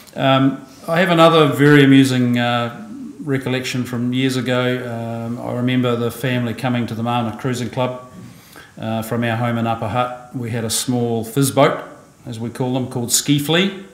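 Over audible room echo, a man talks at a moderate pace with fairly even intonation. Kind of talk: eulogy speech. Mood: warm, lightly amused. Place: church.

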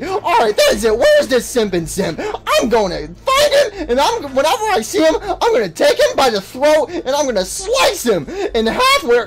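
A high-pitched, put-on character voice talks at a moderate pace with hardly any pauses. Loud background noise is present throughout. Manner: angry, screaming.

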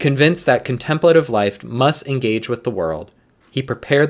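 There is vocal fry in this man's speech. Nothing intrudes from the background. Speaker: prayer leader. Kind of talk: liturgical morning prayer, read aloud with fervent prayer near the end. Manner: formal, measured, reverent; fervent, solemn and earnest in prayer. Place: office. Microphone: webcam.

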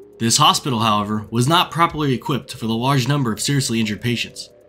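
A man talks at a very fast pace with ordinary pitch variation. Music plays in the background. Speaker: history channel narrator. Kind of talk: documentary narration.

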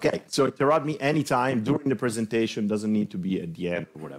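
At a very fast pace, a man talks with lively intonation. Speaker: presenter. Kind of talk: lecture. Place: classroom.

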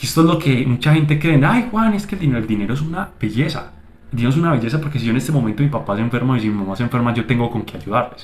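With an animated tone and lively intonation, a man rattles along at a very fast pace. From Colombia. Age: 20s. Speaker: digital marketing agency owner, YouTuber; YouTuber. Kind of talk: motivational vlog monologue. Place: home room. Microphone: phone near.

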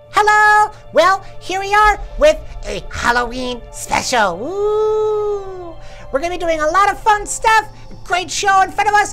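Over clear background music, a cartoonish character voice at an extremely high pitch moves at a fairly slow pace. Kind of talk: puppet show hosting. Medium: puppet. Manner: upbeat, excited.

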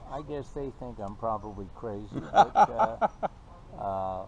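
A man talks very slowly with very wide pitch swings. The sound is dry with no echo, but background noise is noticeable. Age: 70s. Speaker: full-time RVer. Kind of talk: interview answer. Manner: hesitant, halting. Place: garden.

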